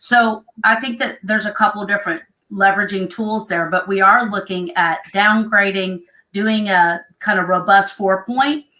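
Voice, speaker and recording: Speaking at a moderate pace with fairly even intonation, a woman with an American accent has a medium-pitched voice and a bright, sharp tone. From Oklahoma. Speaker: home inspection business partner. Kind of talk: live stream panel chat.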